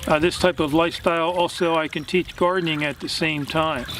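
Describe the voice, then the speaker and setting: Noticeable background noise surrounds a man with a high voice. He keeps a moderate pace and a monotone, flat intonation. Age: 60s. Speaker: vlogger on gardening and plant-based diet. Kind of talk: casual talk to camera, answering viewer question. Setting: outdoors in vegetable garden. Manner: halting, many fillers.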